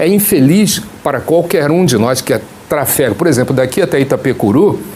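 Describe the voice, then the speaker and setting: Over noticeable background noise, the speaker keeps a moderate pace, with lively intonation and very even loudness. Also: man, fairly high pitch for a man. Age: 60s. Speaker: political candidate and pastor. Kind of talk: TV interview.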